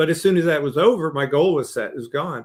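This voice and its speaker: An unremarkable speaking voice belongs to a man with fairly high pitch and ordinary pitch variation. He talks at a fairly quick pace on a very clean recording with a silent background. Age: 60s. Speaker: leadership coach and author. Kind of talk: podcast interview.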